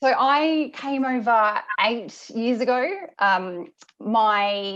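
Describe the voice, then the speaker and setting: A woman with a strong Australian accent and a fairly high pitch. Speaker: senior product manager in motorsport. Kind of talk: interview. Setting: video call. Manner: halting, many fillers.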